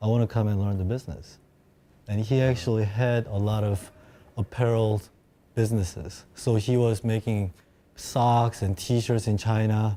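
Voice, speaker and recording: This man talks with a Korean accent at a moderate pace, using a fairly low pitch and fairly even intonation. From South Korea, moved to Seattle at 13. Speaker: sneaker collector. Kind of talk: casual chat.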